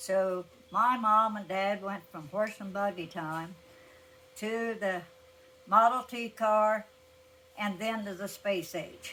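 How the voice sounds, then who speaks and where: With an American accent, a woman speaks at a very slow pace in a bright, sharp tone and fairly even intonation, leaving long, frequent pauses. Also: medium pitch for a woman. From Appalachia, southern Ohio (Scioto County). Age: 80s+. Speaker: elderly interviewee recalling farm life. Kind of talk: oral history interview.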